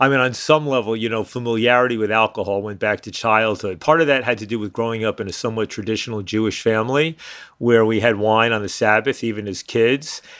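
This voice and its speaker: A man with a New York accent talks at a very fast pace with hardly any pauses. His pitch is medium and his intonation fairly even. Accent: New York area American. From US, New York City suburbs. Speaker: drug policy activist. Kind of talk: interview. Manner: halting.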